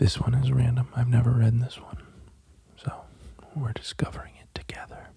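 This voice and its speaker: Soft-spoken and at a moderate pace, the speaker leaves long, frequent pauses over noticeable background noise. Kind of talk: casual soft-spoken talk to camera. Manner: soft-spoken, calm.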